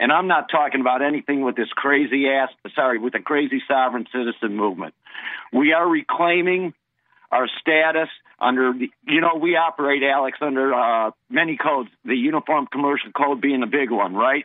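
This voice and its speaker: Here is an ordinary speaking voice from a man with a fairly high pitch. He talks at a fairly quick pace with ordinary pitch variation and very even loudness. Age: 60s. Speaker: caller. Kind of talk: call-in. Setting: phone call.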